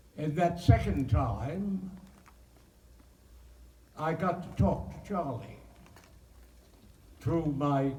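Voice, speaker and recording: A man speaks at a very slow pace, with long, frequent pauses and big swings in loudness. His pitch is fairly high with ordinary variation, over noticeable background noise. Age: 80s+. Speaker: actor. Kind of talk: interview answer.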